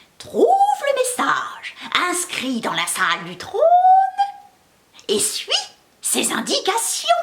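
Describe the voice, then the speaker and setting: A woman uses a put-on character voice at an extremely high pitch. She talks at a fairly slow pace with long, frequent pauses. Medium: read story. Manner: slow, sententious.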